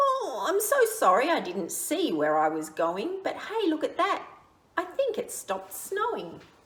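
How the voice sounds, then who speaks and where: Squeaky and extremely high-pitched, a woman uses a put-on character voice. Her pace is moderate. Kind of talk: picture-book read-aloud. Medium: read story. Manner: blurting.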